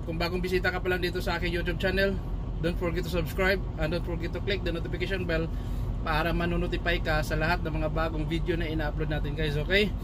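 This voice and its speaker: Noticeable background noise runs under the recording. A man talks at a very fast pace. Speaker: truck driver vlogger. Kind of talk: casual vlog chat. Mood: grateful, cheerful. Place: car. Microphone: phone near.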